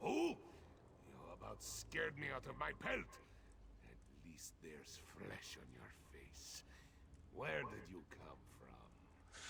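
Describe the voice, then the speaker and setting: A man whispers in a put-on character voice at a fairly slow pace, with long, frequent pauses over clear background noise. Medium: video game. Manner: salty, sardonic.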